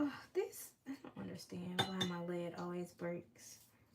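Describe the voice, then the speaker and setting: A woman speaks quietly in a relaxed tone. Her intonation is lively. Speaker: baker and livestream host. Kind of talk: casual livestream chat while coloring. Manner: relaxed, chatty.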